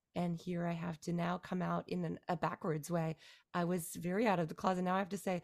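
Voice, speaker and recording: A woman's fairly low voice, an unremarkable speaking voice, at a fairly quick pace with fairly even intonation. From Canada. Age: 40s. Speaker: musician and songwriter. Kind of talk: casual interview. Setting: remote call from Beijing.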